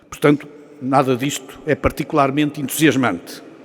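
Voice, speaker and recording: Background noise is noticeable here. A man talks at a fairly quick pace. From Portugal. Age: 60s. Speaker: business executive and professor, guest speaker. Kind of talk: after-lunch talk to an audience.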